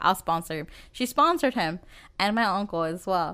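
A woman with an American accent speaks at medium pitch and a fairly slow pace, in an unremarkable speaking voice. The recording is very clean with a silent background. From US Midwest, Dodge City, Kansas. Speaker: podcast co-host. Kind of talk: casual chat.

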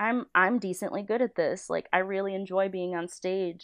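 A woman at medium pitch with a Western New York accent, speaking at a moderate pace with fairly even intonation. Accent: Western New York (Inland North) American. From western New York (Niagara Falls). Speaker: storyboard artist. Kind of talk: casual chat.

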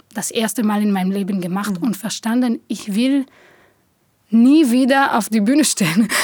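A somewhat breathy woman's voice, fairly high in pitch, with an Israeli accent and long, frequent pauses. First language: Hebrew (speaking German). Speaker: theatre director. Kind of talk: interview.

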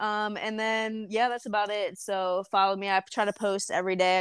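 A woman with an American accent and monotone, flat intonation, in a dry, close sound with no echo. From Frederick, US (Maryland). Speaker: performance trainer and gym owner. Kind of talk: casual interview.

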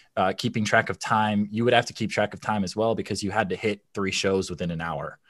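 A man with a Midwestern American accent and a fairly low pitch, fairly quick and fairly even, with hardly any pauses, on a very clean recording with a silent background. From Michigan, US. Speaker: former theme park performer. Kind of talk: casual interview chat.

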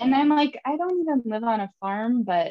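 In a northern Minnesota accent, a woman speaks slowly with ordinary pitch variation.

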